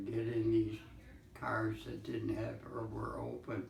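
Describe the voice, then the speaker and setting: A man talks over noticeable background noise. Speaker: Great Depression survivor. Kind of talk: interview answer. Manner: slow, hesitant.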